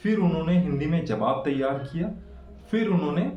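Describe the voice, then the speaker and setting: There is noticeable background noise and audible room echo. A man speaks with lively intonation. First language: Bengali (speaking Hindi). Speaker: English-speaking tutor / YouTuber. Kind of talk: tutorial. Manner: casual, with frequent fillers.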